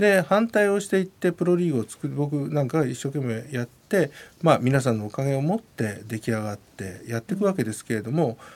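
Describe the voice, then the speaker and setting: The pace is fairly quick. This man's pitch swings very widely. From Japan, Yamanashi. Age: 50s. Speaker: rugby executive and university professor. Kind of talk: radio interview.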